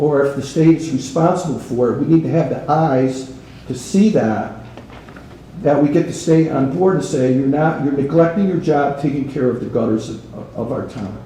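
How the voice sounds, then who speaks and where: Amid noticeable background noise and audible room echo, a man with an American accent talks at a moderate pace, his fairly high pitch showing ordinary variation. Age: 70s. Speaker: resident speaking at public comment. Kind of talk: public comment at town meeting. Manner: halting, repeats words.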